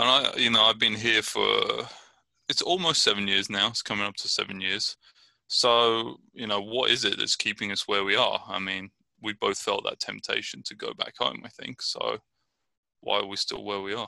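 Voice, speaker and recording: Speaking at a moderate pace with an English accent, a man is heard against a quiet background. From southern England, Brighton. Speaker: podcast co-host. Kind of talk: casual chat.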